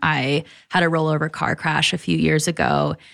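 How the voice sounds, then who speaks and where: Vocal fry in an American accent on a very clean recording with a silent background. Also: woman. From Michigan, Detroit area (Troy). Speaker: naturopathic doctor and content executive. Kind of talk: casual interview chat.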